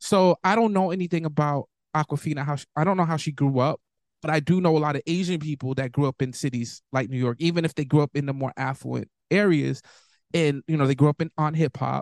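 A man speaks very fast with an American accent at a fairly high pitch. His pitch varies in an ordinary way, and the sound is dry and close with no echo. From US inner city. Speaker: podcast co-host. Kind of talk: casual chat.

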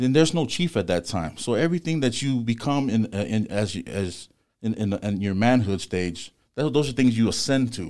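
With an American accent, a man talks at a moderate pace in a plain, everyday voice, medium in pitch with lively intonation, on a very clean recording with a silent background. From Los Angeles, US West Coast. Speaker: tattoo artist and shop owner. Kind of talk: casual interview.

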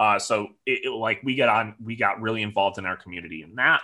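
A man with a Midwestern American accent and a fairly low pitch speaks at a fairly quick pace in a bright, sharp tone, with ordinary pitch variation, on a very clean recording with a silent background. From Michigan, near Detroit. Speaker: soccer supporters club president. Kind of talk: interview.

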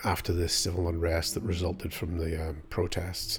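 With a Northern Irish accent, a man speaks at a moderate pace in a very deep, low, somewhat breathy voice. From Northern Ireland. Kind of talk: casual interview.

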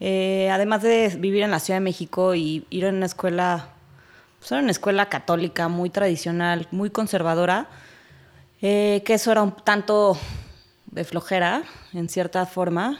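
A woman in a Mexico City accent at a moderate pace, ordinary pitch variation, on a very clean recording with a silent background. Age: 30s. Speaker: chef. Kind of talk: casual chat.

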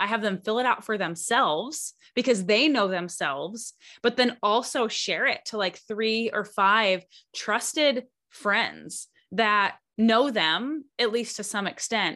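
Against a quiet background, a woman with a fairly high pitch speaks slowly, her tone bright and sharp. Her pitch moves in an ordinary way. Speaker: podcast host and coach. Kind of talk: casual interview chat.

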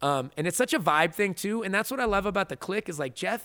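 A man speaks with lively intonation. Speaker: combat sports commentator. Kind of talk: casual podcast interview. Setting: studio.

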